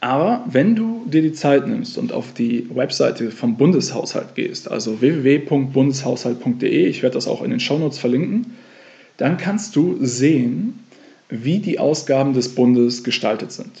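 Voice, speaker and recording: His pitch is fairly high for a man and swings very widely. The man speaks at a fairly slow pace. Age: 30s. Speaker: financial coach and podcast host. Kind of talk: solo podcast monologue.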